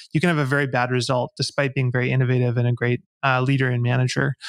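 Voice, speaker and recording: With a quiet background and a dry sound with no echo, a man speaks in a flat monotone. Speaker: podcast guest. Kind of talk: interview answer. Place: home room. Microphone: studio mic.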